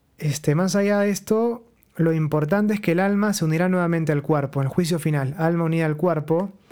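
A dark, mellow tone at a fairly quick pace, with ordinary pitch variation and very even loudness. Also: man, high pitch for a man. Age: 30s. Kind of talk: religious teaching talk. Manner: conversational.

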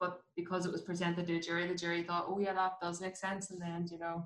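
Her pitch fairly low, a woman speaks at a fairly quick pace. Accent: Belfast. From West Belfast, Northern Ireland. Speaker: dentist. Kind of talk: casual chat.

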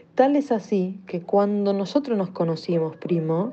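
At a moderate pace, a woman speaks as noticeable background noise continues. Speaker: listener sending voice message. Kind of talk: voice message.

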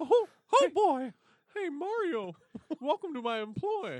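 In a put-on character voice, the speaker uses a high pitch and very wide pitch swings at a fairly slow pace. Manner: menacing.

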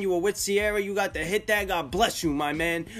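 In a New York accent, the speaker goes very fast with fairly even intonation. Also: man. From New York, Staten Island. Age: 20s. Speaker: rapper and music consultant co-host. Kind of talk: casual chat.

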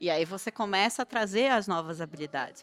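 Captured with a dry, close sound and no echo, a woman talks at a fairly quick pace in an ordinary speaking voice with lively intonation. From Belém, Pará, northern Brazil. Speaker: startup founder. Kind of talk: panel discussion.

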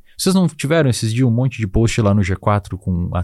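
Recorded very cleanly against a silent background, a man's dark, mellow, medium-pitched voice moves at a moderate pace with very wide pitch swings in a dry, close sound with no echo. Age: 20s. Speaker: psychologist and neuroscience expert. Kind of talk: casual interview.

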